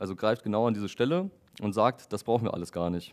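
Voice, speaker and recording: A man talks, and the background is quiet. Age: 20s. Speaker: software developer giving a tech talk. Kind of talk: lecture. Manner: hesitant with frequent fillers. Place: meeting room.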